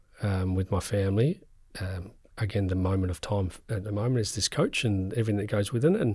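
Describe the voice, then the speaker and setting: In a very clean recording with a silent background, a man with an Australian accent speaks somewhat breathily at a moderate pace, fairly low in pitch with ordinary pitch variation. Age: 50s. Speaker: football coach. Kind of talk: podcast interview. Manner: halting.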